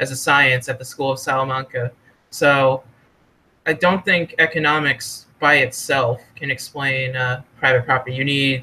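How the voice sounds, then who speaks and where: A man's medium-pitched voice with a bright, sharp tone. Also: fairly even intonation, moderate pace. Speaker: economics student or scholar being interviewed. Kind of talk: casual podcast interview discussion. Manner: halting, self-corrects with fillers.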